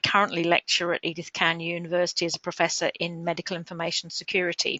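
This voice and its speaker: The speaker is a woman. Her pitch is fairly low. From England. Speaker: professor and information security consultant. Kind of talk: webinar lecture. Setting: online webinar. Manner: hesitant, many filler ums.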